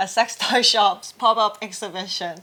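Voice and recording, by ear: In a Hong Kong accent, a woman speaks at a fairly slow pace with ordinary pitch variation and a fairly bright tone. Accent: Hong Kong Cantonese.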